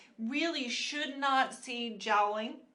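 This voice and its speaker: A woman with a high pitch and lively intonation speaks amid audible room echo and noticeable background noise. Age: 60s. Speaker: esthetician and skincare channel host. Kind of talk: live skincare tutorial. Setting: live stream at a studio. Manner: casual, conversational with fillers.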